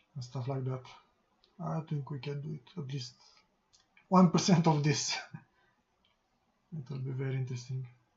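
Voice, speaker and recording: The speaker, with a non-native accent, leaves long, frequent pauses. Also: moderate pace. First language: not English. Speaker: game programmer, coding youtuber. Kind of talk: coding tutorial. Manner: soft-spoken; halting, many pauses. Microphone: quiet, mic boost at maximum.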